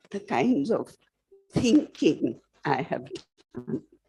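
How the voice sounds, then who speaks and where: Somewhat breathy, a woman speaks at a very slow pace, her pitch swinging very widely. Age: 80s+. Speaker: memoir author, panelist. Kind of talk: panel discussion.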